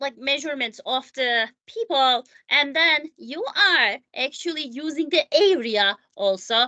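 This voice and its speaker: Raised and projected, a woman's high-pitched voice sounds bright and sharp, dry and close with no echo. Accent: non-native. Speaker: math teacher. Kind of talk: tutorial. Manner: halting, many fillers; casual.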